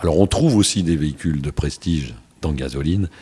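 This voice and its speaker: The voice belongs to a man and has a dark, mellow tone. It is somewhat breathy. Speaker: radio host. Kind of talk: radio interview.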